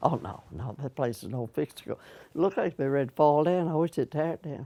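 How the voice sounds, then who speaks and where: A woman with an American accent speaks in a very deep, low voice with a dark, mellow tone. Her intonation is lively, her loudness swings widely, and her pace is fairly quick. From Virginia, New Kent County. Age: 80s+. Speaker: oral history interviewee. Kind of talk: casual chat.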